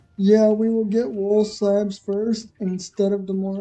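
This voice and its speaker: Music plays in the background while the speaker talks at a fairly slow pace. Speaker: gaming livestreamer. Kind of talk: casual chat. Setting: live stream.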